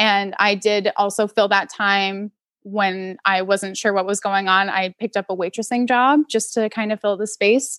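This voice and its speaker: Recorded very cleanly with a silent background and a dry, close sound with no echo, a woman with a plain, everyday voice and an American accent talks at a moderate pace and medium pitch, with fairly even intonation and hardly any pauses. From US Northeast, Connecticut. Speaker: zookeeper, bird trainer. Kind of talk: casual interview.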